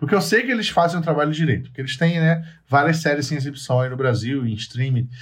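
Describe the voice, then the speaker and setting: A man speaks very fast and somewhat breathily, his intonation fairly even. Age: 30s. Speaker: podcast host. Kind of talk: casual chat. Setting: remote call via chat.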